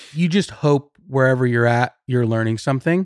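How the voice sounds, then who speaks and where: A man with a Californian accent talks at a fairly quick pace with lively intonation. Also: dry, close sound with no echo, very clean recording, silent background. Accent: Californian American. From Southern California, Riverside. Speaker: brand marketing manager. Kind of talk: casual chat.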